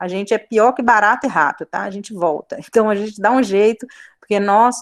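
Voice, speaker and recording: A woman at a fairly quick pace with ordinary pitch variation, in a dry, close sound with no echo. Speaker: biology teacher. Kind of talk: online class lecture. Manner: fast.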